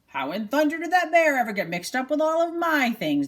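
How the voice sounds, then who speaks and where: A woman performs a put-on character voice at a high pitch with very wide pitch swings. She moves along at a fairly quick pace. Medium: read story.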